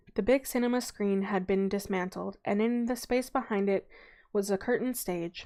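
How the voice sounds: The voice reads in a natural way. Pitch variation is ordinary.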